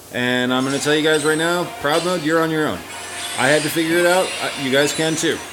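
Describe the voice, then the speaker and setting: Speech at a moderate pace comes with audible room echo and music in the background. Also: man. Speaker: gaming youtuber. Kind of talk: gameplay tutorial. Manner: casual. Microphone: poor audio quality.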